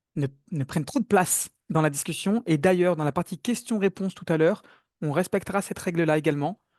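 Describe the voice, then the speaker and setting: A man speaks with ordinary pitch variation. The sound is dry and close with no echo, over a quiet background. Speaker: webinar moderator. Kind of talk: online webinar moderation. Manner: fast.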